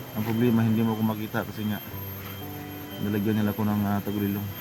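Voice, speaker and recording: Music plays in the background as a man with a medium pitch talks at a very fast pace. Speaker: vlogger. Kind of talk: casual vlog talk to viewers.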